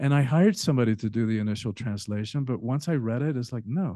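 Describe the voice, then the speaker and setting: A man with a Spanish accent speaks at a medium pitch in a dark, mellow tone with ordinary pitch variation against a quiet background. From Spanish-speaking country, then US from age 10. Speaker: author and transformation coach. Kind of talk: podcast interview. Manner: halting, with fillers.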